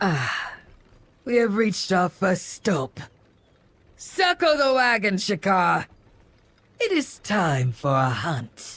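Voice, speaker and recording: A put-on character voice at a middle pitch moves at a very slow pace with long, frequent pauses. The recording is very clean, with a silent background. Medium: machinima.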